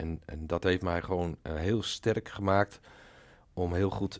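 A man with a very deep, low voice speaks at a very slow pace with fairly even intonation on a very clean recording with a silent background. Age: 60s. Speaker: retired police officer. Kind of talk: podcast interview.

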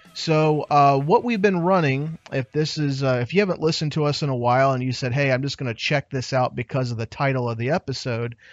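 Here is a man with an ordinary speaking voice. His pitch is fairly high. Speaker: podcast host. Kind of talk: casual chat. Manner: excitable.

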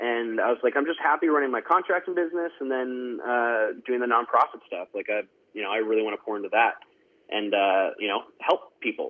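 This man has a western Canadian accent and a medium pitch. He talks at a fairly quick pace with lively intonation. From Canada, Surrey, British Columbia. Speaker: country singer. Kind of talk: interview. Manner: halting, filler-heavy.

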